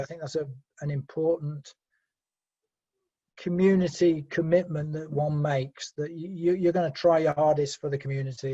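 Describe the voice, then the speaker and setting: In a British accent, a man with a fairly high pitch and a dark, mellow tone speaks at a moderate pace with monotone, flat intonation. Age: 60s. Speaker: Rotary Club treasurer. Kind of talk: interview. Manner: halting.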